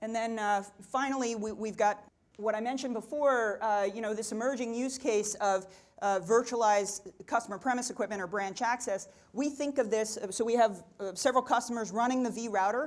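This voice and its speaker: At a fairly quick pace, a woman talks in a fairly high voice with fairly even intonation. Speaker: tech executive and keynote speaker. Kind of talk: conference talk. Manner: fast.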